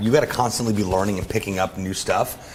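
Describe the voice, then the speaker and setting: Fairly low in pitch, a man speaks in an animated tone. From US, raised in Orlando and Miami. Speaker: entrepreneur and event emcee. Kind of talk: casual interview chat. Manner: animated, with many fillers.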